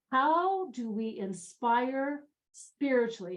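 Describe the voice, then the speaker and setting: A woman speaks with lively intonation. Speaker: workshop trainer. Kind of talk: training presentation. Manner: animated.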